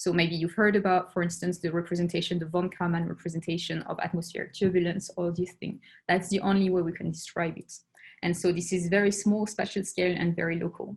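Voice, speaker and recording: A woman with a French accent talks very fast in a fairly low, somewhat breathy voice. Her intonation is monotone and flat. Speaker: astronomer. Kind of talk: lecture. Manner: halting.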